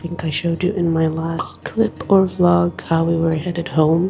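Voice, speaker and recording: Music plays in the background while a woman speaks at a moderate pace. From Tunisia. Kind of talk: casual vlog talk to camera.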